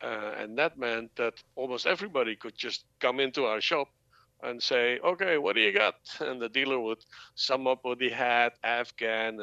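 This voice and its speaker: Against a quiet background, a man with a Dutch accent speaks at a moderate pace and medium pitch in a bright, sharp tone. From Netherlands (born in Dutch New Guinea). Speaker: cannabis entrepreneur. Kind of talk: interview. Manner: halting.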